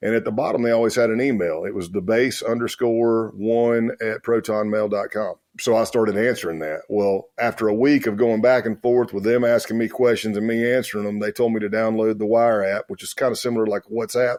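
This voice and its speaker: Talking at a fairly quick pace with hardly any pauses, a man with a medium-pitched voice speaks in a rural Southern US accent. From South Carolina. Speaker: former undercover law enforcement officer. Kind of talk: interview storytelling. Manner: animated.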